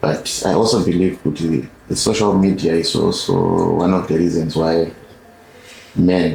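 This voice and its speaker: In a Zimbabwean accent, a man with a very deep, low pitch speaks at a fairly slow pace with fairly even intonation and very even loudness over noticeable background noise. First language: Shona. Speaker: podcast host. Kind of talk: interview.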